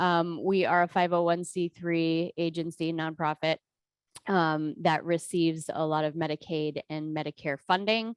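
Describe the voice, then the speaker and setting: The woman has an American accent and a normal speaking voice with a fairly low pitch. The sound is dry and close, with no echo. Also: quiet background. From Eastern Ohio. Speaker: behavioral health executive. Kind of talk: training presentation. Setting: video call from office.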